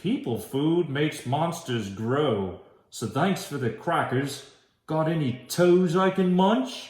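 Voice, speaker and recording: Growling in a put-on character voice, a man speaks with a fairly high pitch at a fairly slow pace. There is slight echo. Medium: read story. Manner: growly, casual.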